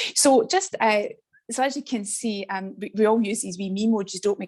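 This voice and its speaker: A woman speaks with a west of Scotland accent. Vocal fry runs through her voice. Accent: Scottish (west of Scotland). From Scotland, west coast. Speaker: teacher educator. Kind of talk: online presentation. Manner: fast; animated.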